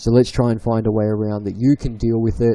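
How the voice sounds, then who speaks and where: With an Australian accent, a man speaks in a dark, mellow tone and a monotone, flat intonation. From Victoria, Australia. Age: 20s. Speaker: livestream guest. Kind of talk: casual chat. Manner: halting.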